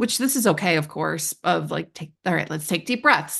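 The speaker talks at a moderate pace against a quiet background. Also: woman. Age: 30s. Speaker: therapy client. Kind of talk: casual chat. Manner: animated.

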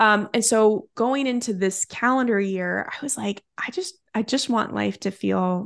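A woman is speaking. The background is quiet. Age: 30s. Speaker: time management coach, former attorney. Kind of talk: podcast interview.

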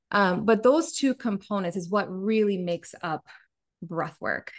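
Using a normal speaking voice at a medium pitch, a woman talks with lively intonation. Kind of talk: casual interview chat.

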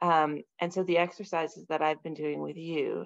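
A woman talks at a moderate pace with vocal fry. The background is quiet. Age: 40s. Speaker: mother and fitness program client. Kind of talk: casual interview chat.

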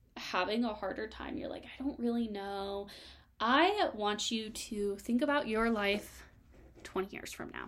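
An animated tone at a fairly slow pace. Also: woman, big swings in loudness. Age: 20s. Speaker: sales coach podcast host. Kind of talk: solo podcast monologue.

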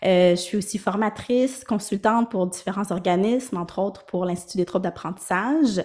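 A woman talks at a moderate pace with hardly any pauses, at a medium pitch with ordinary variation. She has a plain, everyday voice. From Quebec, Montreal (Ville-Saint-Laurent). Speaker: speech-language pathologist. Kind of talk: interview.

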